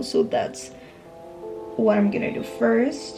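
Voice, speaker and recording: Music in the background behind a woman's medium-pitched voice, paced moderately. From Peru. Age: 20s. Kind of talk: casual talk to camera.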